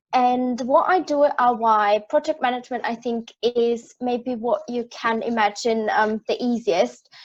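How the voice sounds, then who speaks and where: A woman with an Austrian accent speaks at a high pitch and a fairly slow pace, with hardly any pauses. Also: ordinary pitch variation. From Austria, rural village. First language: German. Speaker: project manager. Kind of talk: panel discussion. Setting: live-streamed panel.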